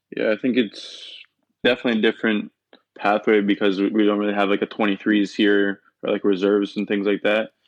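A man with a Canadian accent talks at a fairly quick pace, his fairly low voice monotone and flat. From Canada, Toronto area. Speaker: professional goalkeeper. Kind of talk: interview.

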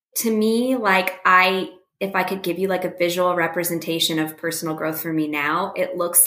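At a fairly slow pace, an unremarkable speaking voice shows ordinary pitch variation. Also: woman. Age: 40s. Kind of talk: casual chat. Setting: remote call.

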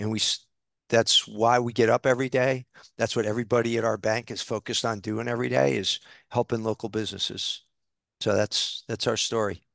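A plain, everyday voice with an American accent at a fairly quick pace, fairly even intonation, a quiet background and a dry, close sound with no echo. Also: man, medium pitch for a man. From upstate New York (Albany). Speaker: bank CEO. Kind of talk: interview conversation.

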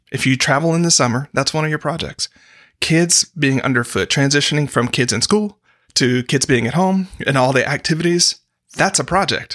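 A man's fairly high voice, an unremarkable speaking voice, with ordinary pitch variation and a moderate pace, on a very clean recording with a silent background and a dry, close sound with no echo. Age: 40s. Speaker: executive coach and author. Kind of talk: casual chat.

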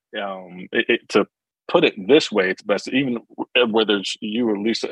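In an unremarkable speaking voice, a man with an American accent talks at a medium pitch and a moderate pace, the sound dry and close with no echo. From US Northeast (New Jersey). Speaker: financial coach. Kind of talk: casual interview.

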